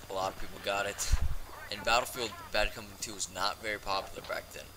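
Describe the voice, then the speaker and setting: Over noticeable background noise, a man talks at a very fast pace. His fairly low voice stays monotone, with flat intonation. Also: big swings in loudness. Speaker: gaming youtuber. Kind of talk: casual rant vlog. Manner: hesitant, many fillers.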